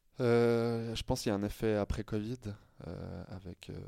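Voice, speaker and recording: A man speaks with a dark, mellow tone. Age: 30s. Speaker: sports journalist. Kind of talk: casual chat. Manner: halting.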